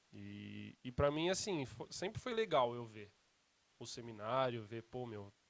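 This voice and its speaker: Fairly slow male speech with big shifts in loudness. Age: 20s. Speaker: seminary student. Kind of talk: casual chat. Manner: casual, informal slang.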